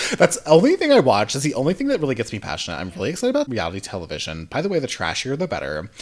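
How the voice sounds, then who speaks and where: Talking at a very fast pace with hardly any pauses, a man sounds animated. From US South. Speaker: podcast host. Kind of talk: casual chat, storytelling. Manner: animated, joking.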